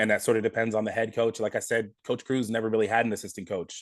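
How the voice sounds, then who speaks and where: A man with an American accent talks at a very fast pace. His intonation is monotone and flat. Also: quiet background. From California, Monterey County. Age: 30s. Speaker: high school basketball coach. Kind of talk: podcast interview.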